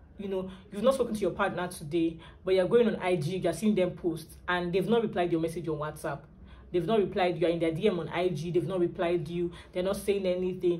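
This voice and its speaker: Speaking at a fairly quick pace, a woman with a fairly low pitch keeps her intonation fairly even amid audible room echo. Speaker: lifestyle and relationship vlogger. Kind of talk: vlog advice talk.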